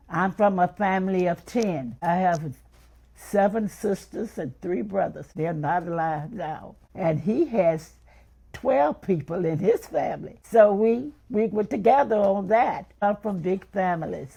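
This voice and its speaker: A dark, mellow, somewhat breathy voice in a Memphis accent, fairly slow, with lively intonation. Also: woman, medium pitch for a woman. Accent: Southern US (Memphis). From US South, Memphis, Tennessee. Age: 80s+. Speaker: interviewee recounting her life. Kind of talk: personal life story interview.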